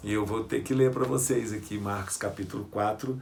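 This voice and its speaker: Amid audible room echo, a man with a somewhat breathy voice speaks at a moderate pace. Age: 60s. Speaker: pastor and youth ministry leader. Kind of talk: sermon-style lecture.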